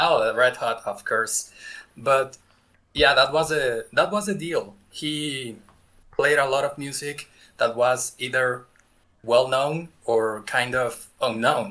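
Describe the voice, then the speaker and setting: With an American accent, a man talks at a very slow pace in a bright, sharp tone, his medium pitch showing ordinary variation. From Mexico. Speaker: music reaction youtuber. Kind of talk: interview.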